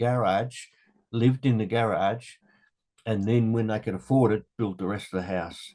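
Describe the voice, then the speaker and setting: Speaking with an Australian accent, the man has a medium pitch. His pace is moderate and his pitch varies in an ordinary way. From Australia, Melbourne (St Albans). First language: Dutch. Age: 70s. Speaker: interviewee, father of the host. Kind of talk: family interview, life story. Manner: conversational, with hesitations.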